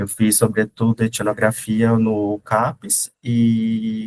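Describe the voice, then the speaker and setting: The intonation stays monotone and flat. The sound is dry and close, with no echo. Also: man. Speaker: doctoral researcher presenting at a conference. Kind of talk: academic presentation. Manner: hesitant, many fillers.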